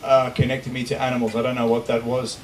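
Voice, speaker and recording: A man talks loudly at a very fast pace. Noticeable noise sits in the background. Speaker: conservationist, former special operations soldier. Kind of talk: public talk. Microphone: unreliable microphone cutting out.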